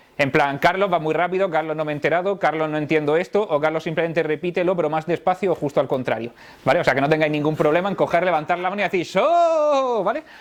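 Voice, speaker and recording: A man's high voice with ordinary pitch variation, going at a very fast pace with hardly any pauses. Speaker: tech conference speaker. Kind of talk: technical talk to live audience. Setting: stage with audience. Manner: animated.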